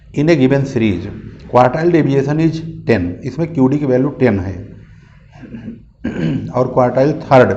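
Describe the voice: In a put-on character voice, a man speaks at a moderate pace in a hoarse, raspy tone at medium pitch, leaving long, frequent pauses.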